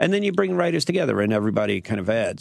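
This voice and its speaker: A man with a New York accent speaks with very wide swings in pitch. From Queens, New York. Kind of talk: radio interview. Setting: studio.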